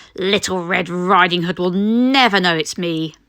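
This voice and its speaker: A female-sounding put-on character voice with a growl, pitched in a woman's medium range and delivered at a moderate pace. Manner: snarling, sneaky.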